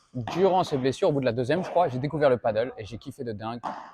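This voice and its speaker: With lively intonation and medium pitch, a man speaks in a dry, close sound with no echo. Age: 20s. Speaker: professional padel player and vlogger. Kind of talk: casual channel introduction to camera. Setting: padel club. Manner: casual, hesitant with many fillers.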